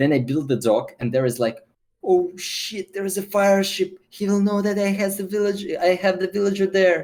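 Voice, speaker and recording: This man has a Russian accent and a high pitch. His intonation is lively and his pace moderate. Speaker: esports player and streamer. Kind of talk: interview. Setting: video call. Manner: halting.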